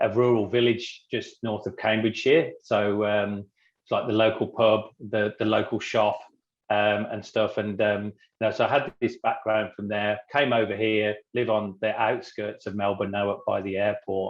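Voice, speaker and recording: In an English accent, a man with fairly low pitch speaks at a moderate pace in a monotone, flat intonation. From England. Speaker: business cofounder. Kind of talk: podcast interview.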